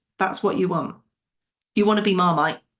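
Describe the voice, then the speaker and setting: A woman talks at a very fast pace with an English accent. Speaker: business coach podcast host. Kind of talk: solo podcast monologue. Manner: animated.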